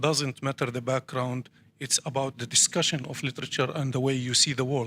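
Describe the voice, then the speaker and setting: A man's bright, sharp voice with an Arabic accent, medium pitch and fairly even intonation. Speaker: poet. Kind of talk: panel discussion. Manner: halting.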